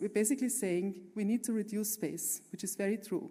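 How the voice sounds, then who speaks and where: A woman speaks in a passionate tone at a moderate pace. Her medium-pitched voice is dark and mellow, with ordinary pitch variation. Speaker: architect and urban planner. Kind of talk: conference talk with slides. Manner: halting with fillers.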